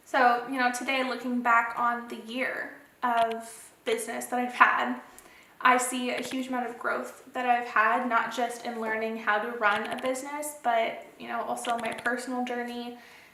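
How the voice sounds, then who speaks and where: A woman's high, flat, monotone voice with big swings in loudness, audible room echo and noticeable background noise. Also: moderate pace. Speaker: photographer and small business owner. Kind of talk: casual vlog talk to camera. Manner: casual, filler-heavy.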